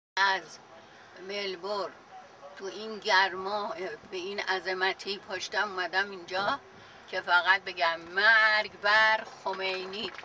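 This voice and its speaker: A woman at medium pitch speaks at a very slow pace in a monotone, flat way, with long, frequent pauses and noticeable background noise. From Iran. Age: 80s+. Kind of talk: interview answer. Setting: outdoors.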